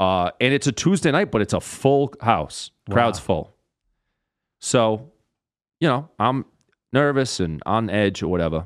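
Speaking with a Rhode Island accent, a man at medium pitch moves at a fairly slow pace with long, frequent pauses, his pitch swinging very widely while his loudness stays very even, in a very clean recording against a silent background. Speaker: comedian. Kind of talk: casual chat. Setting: studio.

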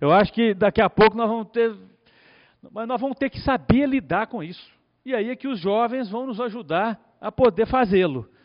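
A man's high-pitched voice with big swings in loudness. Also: ordinary pitch variation, moderate pace. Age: 50s. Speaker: lawyer. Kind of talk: conference talk. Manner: halting, many fillers.

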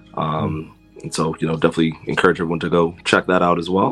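A man speaks over noticeable background noise. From US, Washington D.C. area (Silver Spring, Maryland). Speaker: podcaster, guest. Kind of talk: casual chat.

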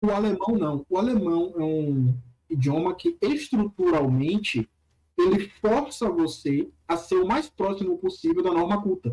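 The voice has a dark, mellow tone and very wide pitch swings. It moves at a fairly slow pace with very even loudness. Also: man, high pitch for a man. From interior of Bahia, Brazil. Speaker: pharmacy student and language learner. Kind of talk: casual chat.

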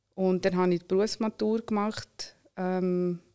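Very slowly, a woman with a Swiss accent speaks at a medium pitch in a dark, mellow tone with fairly even intonation. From Switzerland, Solothurn. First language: not German, learned German at five (speaking German). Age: 30s. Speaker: entrepreneur. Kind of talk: interview.

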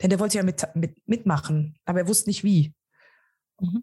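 Somewhat breathy woman's voice of medium pitch with ordinary pitch variation, a dry, close sound with no echo and a quiet background. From Germany. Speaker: innovation coach. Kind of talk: interview. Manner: halting, many fillers.

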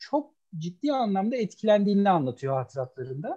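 Talking at a fairly slow pace, a man has a high pitch and a dark, mellow tone. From Istanbul (Kadıköy), Turkey. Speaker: professor of English language teaching. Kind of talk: casual chat.

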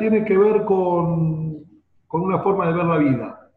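A fairly high-pitched man at a very slow pace, with audible room echo. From Argentina, Buenos Aires. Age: 50s. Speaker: marketing consultant. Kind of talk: interview.

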